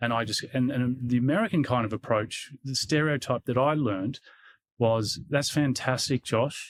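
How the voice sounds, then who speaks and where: In a very clean recording with a silent background, a man with an Australian accent speaks at a medium pitch and moderate pace, his pitch varying in an ordinary way. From Australia, Canberra. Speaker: security executive. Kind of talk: interview. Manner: halting.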